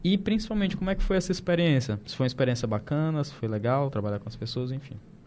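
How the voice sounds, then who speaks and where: Talking at a very fast pace, a man with a fairly high pitch makes very wide pitch swings and big swings in loudness. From Brazil. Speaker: podcast host. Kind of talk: casual interview chat. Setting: studio panel table.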